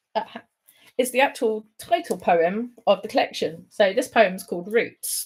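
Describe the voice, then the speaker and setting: With a southern English accent, a woman speaks at a fairly slow pace. Her voice is fairly high in pitch, with lively intonation. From England, London. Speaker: poet. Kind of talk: poetry reading; casual chat. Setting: online livestream.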